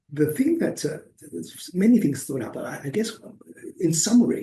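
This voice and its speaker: This man has a dark, mellow tone that sounds somewhat breathy. His pitch makes very wide swings. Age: 60s. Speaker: activist vlogger reviewing a course. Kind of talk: casual video review. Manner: halting, many fillers and repetitions.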